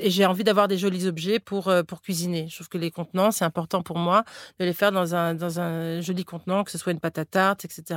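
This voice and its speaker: A woman at a very fast pace, medium pitch and fairly even intonation, in a very clean recording with a silent background and a dry, close sound with no echo. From Florida, US. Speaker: cookbook author and entrepreneur. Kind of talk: interview. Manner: halting, with frequent repetitions and fillers.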